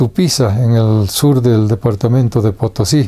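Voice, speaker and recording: A man's medium-pitched, dark, mellow voice, somewhat breathy, at a very slow pace. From Bolivia, Vallegrande province (rural). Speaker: writer, storyteller. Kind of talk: biographical interview. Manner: halting, many fillers.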